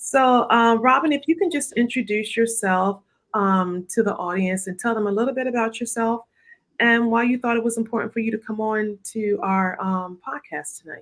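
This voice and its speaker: Here is a woman in a normal speaking voice. Her pitch is fairly high, with ordinary pitch variation. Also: moderate pace. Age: 50s. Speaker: nurse practitioner and health show host. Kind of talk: live health talk show. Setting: live video stream.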